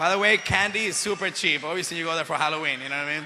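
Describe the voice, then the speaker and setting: Amid noticeable background noise, a man with a Spanish accent talks at a very fast pace in an animated tone, his high pitch showing ordinary variation. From Venezuela. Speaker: actor and motivational speaker. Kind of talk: motivational speech to youth audience.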